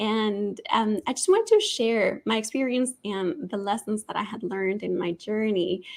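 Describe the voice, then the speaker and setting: Speaking in a Spanish accent, a woman keeps a fairly high pitch with ordinary pitch variation. Her moderate pace has hardly any pauses. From Colombia, Bogota. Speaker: nonprofit marketing executive and author. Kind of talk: interview.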